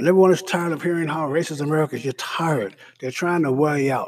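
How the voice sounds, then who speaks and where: A man's very fast speech with lively intonation. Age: 70s. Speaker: political commentator and reverend. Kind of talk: political commentary monologue.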